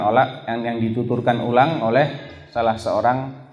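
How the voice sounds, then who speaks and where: A man with an ordinary speaking voice talks at a moderate pace, medium in pitch and fairly even in intonation. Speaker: Islamic preacher giving a lecture. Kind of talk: Islamic religious lecture (pengajian) reviewing a book.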